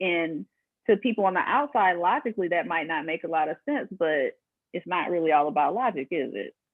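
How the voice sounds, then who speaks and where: A woman speaks at a fairly quick pace with lively intonation and a fairly low pitch. It is a normal speaking voice. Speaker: podcast host. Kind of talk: podcast host talk.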